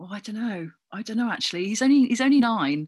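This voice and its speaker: Over a silent background on a very clean recording, the speech runs at a very fast pace with lively intonation. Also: woman. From Cornwall (Redruth). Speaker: actor and comedian. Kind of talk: casual interview.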